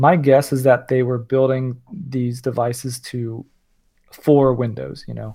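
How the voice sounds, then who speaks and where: Speaking at a fairly slow pace, a man keeps a monotone, flat intonation while his loudness swings widely. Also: medium pitch for a man. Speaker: podcast co-host and developer. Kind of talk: casual chat.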